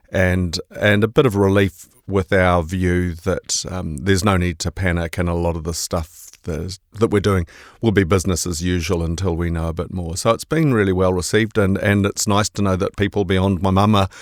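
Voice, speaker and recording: With a New Zealand accent and a very deep, low pitch, a man talks at a moderate pace with hardly any pauses. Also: fairly even intonation. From New Zealand, Bay of Plenty. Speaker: investment manager. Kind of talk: podcast discussion. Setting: studio.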